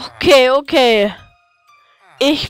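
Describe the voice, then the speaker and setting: A woman's high-pitched voice with ordinary pitch variation, music in the background. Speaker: gaming video creator. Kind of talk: casual gameplay commentary.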